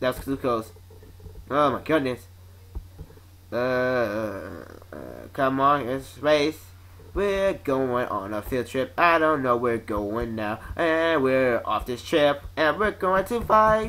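Long pauses occur frequently. Overall, the delivery is very slow. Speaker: gaming video commentator. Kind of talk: gameplay commentary. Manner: animated.

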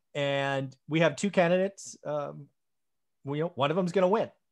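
A man talks at a fairly quick pace. The background is quiet. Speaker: channel host. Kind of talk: podcast discussion intro. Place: home room.

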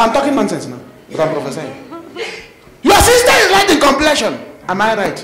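With an animated tone, a man talks at a fairly quick pace with long, frequent pauses amid noticeable background noise. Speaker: preacher. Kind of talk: fiery confrontational sermon, calling out the congregation directly. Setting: church. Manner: animated, punctuating lines with praise the Lord and amen; blunt, challenging, calls people forward from the crowd. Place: church. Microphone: handheld.

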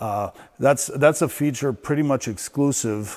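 A man speaks at a moderate pace with ordinary pitch variation against a quiet background. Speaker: barn equipment guide. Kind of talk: walk-through tour explanation. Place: farm machine. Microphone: lapel.

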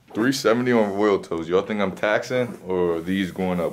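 Over light background noise, a man talks at a very deep, low pitch with ordinary pitch variation. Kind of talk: casual vlog chat. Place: shop. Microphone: phone near.

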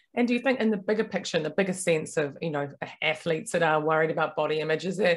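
This woman has a New Zealand accent and a fairly low pitch, with ordinary pitch variation. She talks at a very fast pace on a very clean recording with a silent background. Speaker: podcast host. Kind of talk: interview.

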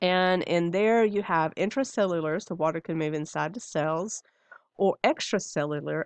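Against a quiet background, a woman with an unremarkable speaking voice talks at a fairly low pitch with lively intonation, in a dry sound with no echo. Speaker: instructor. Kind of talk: lecture.

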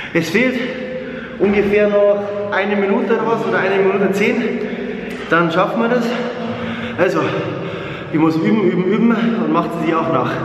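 A man with a high pitch speaks in fairly even intonation and very even loudness, with long, frequent pauses. Noticeable background noise and audible room echo fill the recording. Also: moderate pace. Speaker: fitness vlogger. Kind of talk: casual vlog chat. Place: gym. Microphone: phone near.

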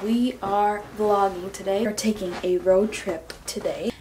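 Light background noise under a woman's fairly slow pace. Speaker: fitness vlogger. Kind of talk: casual vlog chat. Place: home room. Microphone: phone near.

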